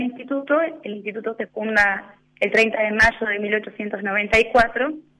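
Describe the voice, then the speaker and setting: A woman's fairly high-pitched voice with an Argentine accent and ordinary pitch variation. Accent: Rioplatense Argentine Spanish. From Argentina, Punta Alta. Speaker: religious sister. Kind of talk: radio interview. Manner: hesitant, many fillers.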